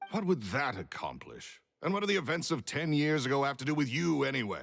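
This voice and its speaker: The recording is very clean, with a silent background. Vocal fry runs through the voice. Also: man. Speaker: video game character. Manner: curt, dismissive.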